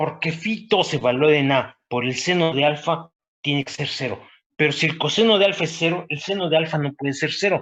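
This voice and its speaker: A man with a normal speaking voice and a fairly high pitch talks at a fairly quick pace with ordinary pitch variation. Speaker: university professor. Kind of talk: lecture.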